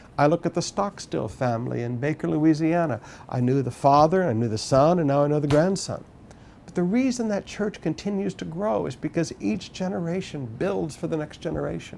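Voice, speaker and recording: Here a man uses an ordinary speaking voice, fairly high in pitch, at a fairly quick pace with lively intonation. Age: 50s. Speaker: pastor. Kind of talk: sermon.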